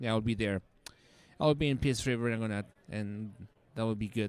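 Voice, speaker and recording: The man's medium-pitched voice shows ordinary pitch variation. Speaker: livestream operator. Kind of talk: livestream chat. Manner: loud.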